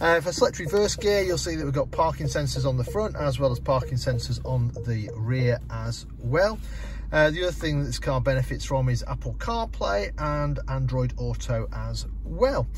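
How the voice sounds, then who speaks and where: This man talks at a moderate pace, the sound dry with no echo and light background noise behind him. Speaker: car dealership salesperson. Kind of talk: product walkthrough tutorial. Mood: relaxed, friendly. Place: car. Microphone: phone near.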